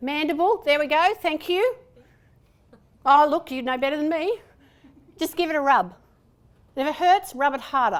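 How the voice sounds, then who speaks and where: With a strong Australian accent, a woman talks at a moderate pace in a high pitch, her intonation lively and broken by long, frequent pauses. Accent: broad Australian. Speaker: presentation and voice trainer. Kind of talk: conference workshop talk. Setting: stage with audience.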